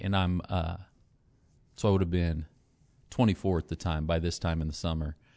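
A man speaks in a very deep, low voice with fairly even intonation. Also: quiet background. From US Midwest, Northwest Missouri. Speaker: pastor. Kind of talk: testimony.

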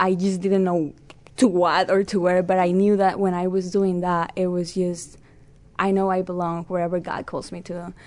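This woman speaks at a medium pitch with a Spanish accent. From Peru. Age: 20s. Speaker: Bible college student. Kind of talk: casual interview.

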